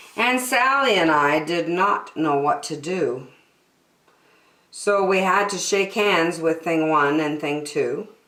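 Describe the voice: In a room with audible echo, a woman talks slowly in a low pitch, her tone fairly bright and her pitch variation ordinary.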